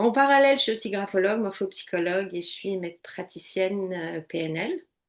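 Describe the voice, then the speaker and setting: In an ordinary speaking voice, the speaker goes at a fairly quick pace with ordinary pitch variation. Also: woman, medium pitch for a woman. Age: 60s. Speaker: coach and psychotherapy practitioner. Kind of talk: interview testimony.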